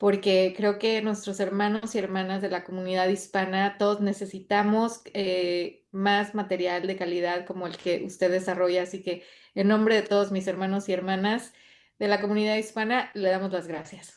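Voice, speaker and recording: A woman with a medium pitch talks at a moderate pace in a monotone, flat intonation against a quiet background. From Mexico. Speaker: theologian, doctoral graduate. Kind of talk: interview.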